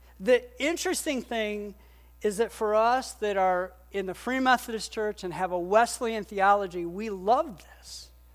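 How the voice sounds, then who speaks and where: A woman's plain, everyday voice, fairly high in pitch with lively intonation, at a moderate pace on a very clean recording with a silent background. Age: 50s. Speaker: pastor. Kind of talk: sermon. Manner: conversational, with frequent fillers.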